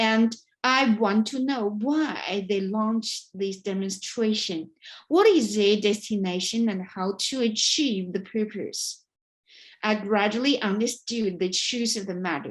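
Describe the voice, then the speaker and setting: A woman with a Chinese accent speaks at a fairly slow pace, somewhat breathy and fairly high in pitch, with ordinary pitch variation. The recording is very clean, with a silent background. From China. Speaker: writer and vlogger. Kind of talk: prepared speech. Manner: halting.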